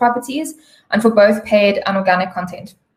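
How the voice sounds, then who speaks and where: With a fairly high pitch and a somewhat breathy quality, a woman talks at a fairly quick pace. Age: 30s. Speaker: digital media sales strategist. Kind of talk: webinar presentation.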